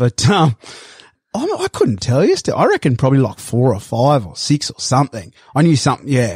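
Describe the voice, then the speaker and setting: A somewhat breathy man with an Australian accent, medium-pitched, fairly quick, with lively intonation, in a dry, close sound with no echo. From Sydney, Australia (Bondi Beach). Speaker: cattle station worker. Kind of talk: interview.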